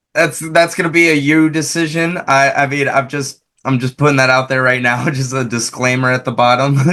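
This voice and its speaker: This man has a bright, sharp tone and a fairly high pitch, speaking at a fairly quick pace with hardly any pauses and fairly even intonation. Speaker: interviewer, podcast host. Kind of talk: casual interview.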